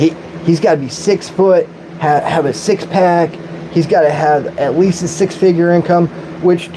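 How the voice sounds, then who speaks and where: A man with an American accent at a moderate pace, over noticeable background noise. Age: 40s. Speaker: streamer. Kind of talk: live-stream rant. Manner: animated.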